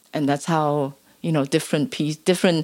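This woman's voice is pitched very deep and low. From Hong Kong. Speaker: labour activist and scholar. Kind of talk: interview.

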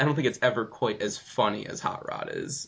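Here a man speaks at a medium pitch with vocal fry. His intonation is lively and his pace is moderate. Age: 20s. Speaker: podcast host. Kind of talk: casual chat.

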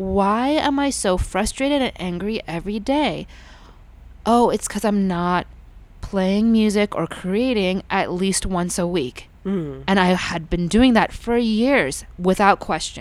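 A fairly slow woman's voice at medium pitch, with ordinary pitch variation. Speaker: musician. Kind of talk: casual interview chat.

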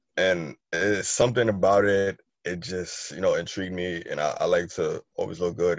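With an American accent, a man speaks at a moderate pace in a very deep, low pitch and fairly even intonation. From New York City (Harlem). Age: 30s. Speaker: sneaker shop owner. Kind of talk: casual interview.

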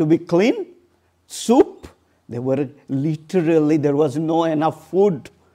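A dark, mellow tone with an Odisha accent moves at a very slow pace, broken by long, frequent pauses. The recording is very clean, with a silent background. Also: man. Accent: Indian (Odia) English. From India, Odisha (eastern India). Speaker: charity founder and missionary. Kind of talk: church talk. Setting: church with audience. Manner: halting.

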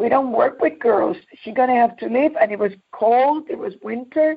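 Speaking at a moderate pace with a Puerto Rican New York accent, the woman has a high pitch and ordinary pitch variation. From Puerto Rico. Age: 70s. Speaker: youth minister. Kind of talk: testimony.

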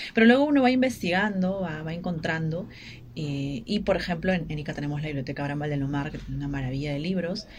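Somewhat breathy and very deep, low in pitch, a woman speaks at a very fast pace with lively intonation amid audible room echo. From Peru, Ica. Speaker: writer and journalist. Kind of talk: radio interview. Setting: radio studio. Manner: halting.

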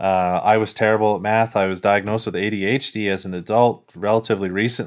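A man's fairly low, monotone voice with flat intonation at a very fast pace, in a very clean recording with a silent background. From small village. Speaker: security researcher and author. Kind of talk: interview.

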